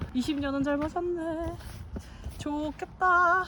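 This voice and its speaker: The voice is raised and projected. Its pitch varies in an ordinary way. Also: woman. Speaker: hiking vlogger. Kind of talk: casual vlog narration while hiking. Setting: outdoors on a mountain trail.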